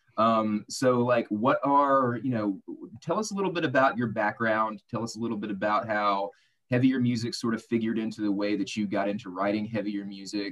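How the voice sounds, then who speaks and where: Over a quiet background, a man with an American accent talks in a normal speaking voice at a fairly quick pace. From US South, Arkansas. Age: 30s. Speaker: radio host and podcast co-host. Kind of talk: casual chat. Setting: video call.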